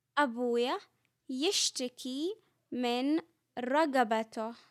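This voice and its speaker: Speaking at a very slow pace, a woman with a Saudi accent uses a high-pitched voice. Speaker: Arabic language teacher. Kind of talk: comprehensible-input language lesson. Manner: slow, clear, repetitive.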